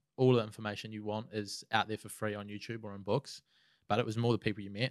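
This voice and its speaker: A man with a New Zealand accent speaks at a fairly quick pace in a fairly low pitch, recorded dry with no echo against a quiet background. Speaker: social media marketer; podcast guest. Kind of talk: casual interview. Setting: studio. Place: studio. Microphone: studio mic.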